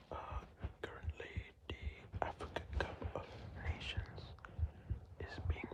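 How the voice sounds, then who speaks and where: At a very slow pace, a man whispers while background noise is clearly present. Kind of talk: ASMR whispered fact-telling about football. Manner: whispered, slow, hesitant with filler words.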